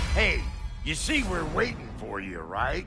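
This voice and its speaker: A man performs a put-on character voice at a fairly slow pace. Clear background noise runs underneath. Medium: machinima. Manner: brash, sarcastic.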